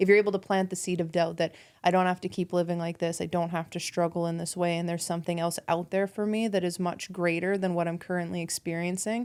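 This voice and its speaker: A fairly quick woman in a Canadian accent with monotone, flat intonation, on a very clean recording with a silent background. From Canada, rural Alberta. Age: 30s. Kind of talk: casual chat.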